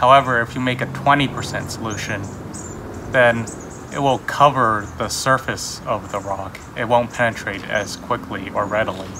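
A man talks at a moderate pace with fairly even intonation. Noticeable background noise runs underneath. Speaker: hobby society member demonstrating. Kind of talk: tutorial. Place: garden.

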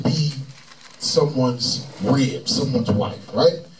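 A man talks very slowly while light background noise sits underneath. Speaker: religious teacher. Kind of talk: scripture teaching commentary. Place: studio.

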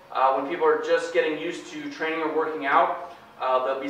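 A man at a fairly quick pace, fairly even intonation, light background noise and audible room echo. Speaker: personal trainer. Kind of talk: interview answer. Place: gym. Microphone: camera far.

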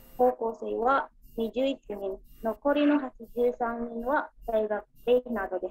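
Very slowly, a woman with an Indonesian accent speaks at a fairly high pitch with fairly even intonation. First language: Indonesian (speaking Japanese). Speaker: student. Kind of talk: class presentation. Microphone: video call.

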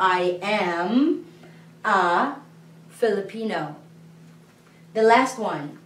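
Audible room echo surrounds a woman as she speaks. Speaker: language teacher. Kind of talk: lecture. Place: classroom. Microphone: camera far.

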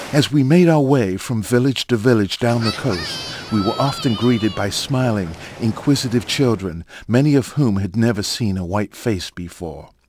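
A man's medium-pitched voice at a moderate pace, solemn and dramatic in tone, with noticeable background noise. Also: lively intonation. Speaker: documentary narrator. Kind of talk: scripted documentary narration, turning solemn in a prayer for the fallen. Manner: solemn, reverent, measured; formal, dramatic.

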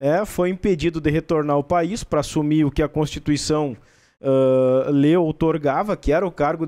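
A man's fairly high-pitched voice with a dark, mellow tone and a southern Brazilian accent, over a quiet background. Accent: gaúcho Brazilian Portuguese. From São Borja, Rio Grande do Sul; Rio Grande do Sul, Brazil. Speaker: state government official; interview guest. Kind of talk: broadcast interview. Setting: studio. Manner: halting. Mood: calm, explanatory about history. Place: studio. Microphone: studio mic.

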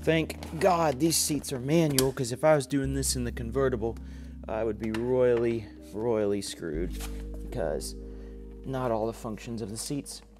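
Over clear background music, a man talks at a moderate pace. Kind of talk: casual vlog chat. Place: garage.

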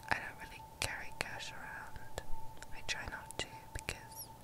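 A woman speaks very slowly in a dry sound with no echo. Loud background noise runs behind her. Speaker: video creator. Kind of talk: soft casual show-and-tell chat. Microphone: webcam.

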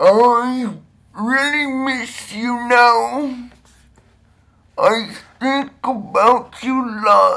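A put-on character voice from a man, extremely high-pitched, raised and projected, monotone and flat, at a very slow pace with long, frequent pauses.

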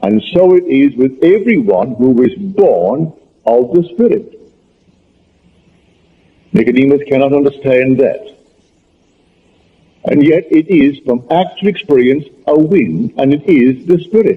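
Long pauses come often in this man's speech. His pace is fairly slow. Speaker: lecturer. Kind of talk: lecture. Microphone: old recording.

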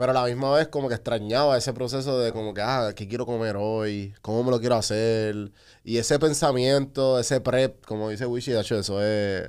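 Against a quiet background, a man with an ordinary speaking voice talks at medium pitch and a fairly quick pace, with fairly even intonation and hardly any pauses. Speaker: podcast host. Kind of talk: casual chat. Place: studio. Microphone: studio mic.

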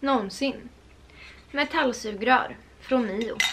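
A woman at a fairly slow pace, over light background noise. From Sweden. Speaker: lifestyle vlogger; vlogger. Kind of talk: casual vlog chat. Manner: animated. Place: home room. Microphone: camera far.

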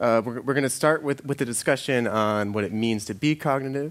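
A man's fairly quick delivery with ordinary pitch variation. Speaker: conference speaker. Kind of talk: lecture. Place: stage.

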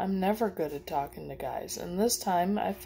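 The clip consists of plain reading aloud.

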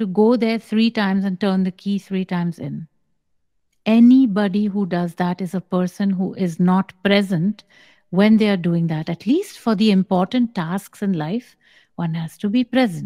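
Somewhat breathy and dark, mellow in tone, a woman speaks at a moderate pace with ordinary pitch variation against a quiet background. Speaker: spiritual teacher. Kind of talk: spiritual guidance answer. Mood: calm, measured, slow. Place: home room. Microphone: studio mic.

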